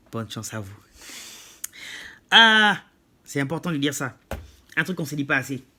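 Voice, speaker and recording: A man with a fairly high pitch and a bright, sharp tone speaks at a moderate pace. His intonation is lively, with big swings in loudness and long, frequent pauses. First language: not French (speaking French). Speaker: YouTuber. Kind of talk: monologue to camera.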